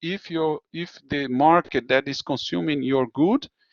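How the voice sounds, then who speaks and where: The speaker talks at a fairly slow pace in a Portuguese accent. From Brazil. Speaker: university lecturer. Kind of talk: lecture. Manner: halting.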